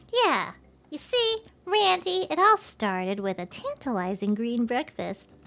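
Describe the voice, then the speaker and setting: At a moderate pace, a woman performs a put-on character voice pitched fairly high. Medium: game stream. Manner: casual, cheerful.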